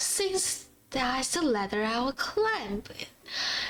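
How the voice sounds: This is a natural reading voice. The text is read aloud in a natural reading voice.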